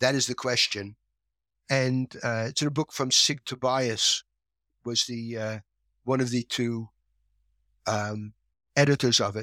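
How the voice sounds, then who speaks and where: The voice has a bright, sharp tone and moves at a fairly slow pace with long, frequent pauses. The recording is very clean, with a silent background and a dry, close sound with no echo. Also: man, medium pitch for a man. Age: 70s. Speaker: educational psychology researcher, professor emeritus. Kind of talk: explanatory interview answers. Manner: passionate, animated, opinionated.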